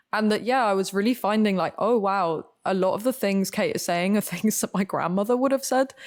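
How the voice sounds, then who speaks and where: On a very clean recording with a silent background, the speaker, in an English accent, moves at a fairly quick pace with hardly any pauses and ordinary pitch variation. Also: woman, medium pitch for a woman. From Spain. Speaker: actor. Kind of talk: casual chat.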